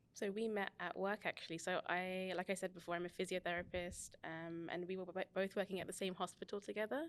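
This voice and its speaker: Speaking with a British accent, a woman talks at a fairly quick pace and medium pitch, with monotone, flat intonation and hardly any pauses. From England, West London. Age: 30s. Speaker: physiotherapist. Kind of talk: casual interview chat.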